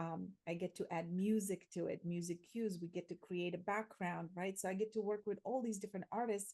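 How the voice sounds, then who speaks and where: With a Slovak accent, a woman at medium pitch speaks at a fairly quick pace with hardly any pauses, in a dark, mellow tone. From Slovakia. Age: 40s. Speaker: transformation coach and theatre educator. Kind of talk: interview. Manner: animated.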